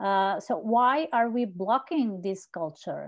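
A woman's fairly high voice with a Portuguese accent at a very slow pace, with ordinary pitch variation and a quiet background. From Portugal. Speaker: journalist and conference organizer; journalist. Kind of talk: casual chat. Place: home room. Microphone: earbuds.

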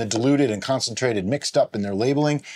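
A man is talking here. Behind him, the background is quiet. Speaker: home winemaking channel host. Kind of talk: tutorial. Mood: playful, puzzled. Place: home room.

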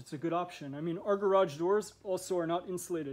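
Here a man talks with a high pitch and ordinary pitch variation. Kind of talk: casual tour commentary. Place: garage. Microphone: phone near.

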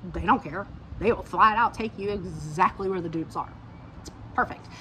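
A woman speaks in a Georgia accent. Light background noise is present. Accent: Southern US (Georgia). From southern Georgia, US South. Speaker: lifestyle YouTuber, dog grooming business owner; lifestyle YouTuber. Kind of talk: casual haul video monologue. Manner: animated. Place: garden. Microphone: phone near.

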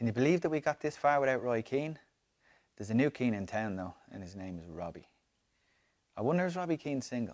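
Against a quiet background, a man talks at a very fast pace. His pitch swings very widely. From Ireland. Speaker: reader of a comic diary. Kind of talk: dramatic diary reading. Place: home room.

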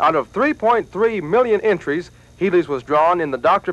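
A man talks in a high voice with lively intonation. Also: dry sound with no echo. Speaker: TV news reporter. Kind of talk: news narration.

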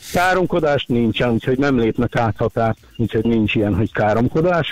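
A man's voice at a fairly quick pace, dry with no echo. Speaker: caller. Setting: phone call. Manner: halting. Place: studio.

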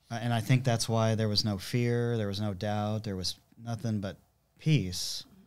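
Here a man speaks with an American accent. His pace is moderate and his intonation fairly even. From Southern California. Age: 50s. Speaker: church musician, guitarist. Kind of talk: casual chat, testimony. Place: studio. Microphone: studio mic.

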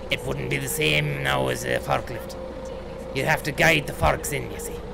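Moderate-paced talk from a man over background music. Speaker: game streamer in character. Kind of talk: casual gameplay commentary. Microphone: headset.

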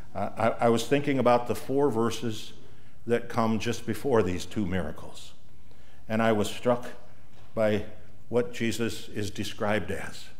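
A man talks at a moderate pace with fairly even intonation. He leaves long, frequent pauses. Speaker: pastor. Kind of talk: sermon. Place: church.

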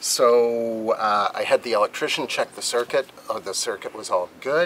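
At a moderate pace, the voice comes through with light background noise underneath. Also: man. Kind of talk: tutorial. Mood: calm, mildly humorous. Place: boat.

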